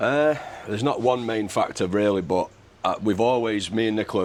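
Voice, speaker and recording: Pitch varies in an ordinary way for this man. He talks very fast. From England. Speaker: expat parent, content creator. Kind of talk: casual chat. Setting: in an office.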